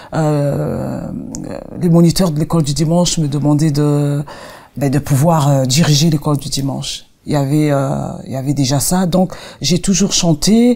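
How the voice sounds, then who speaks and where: Very deep, low pitch from a woman with a dark, mellow tone, a fairly slow pace, and ordinary pitch variation. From Congo. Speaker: gospel singer. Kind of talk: interview. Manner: halting.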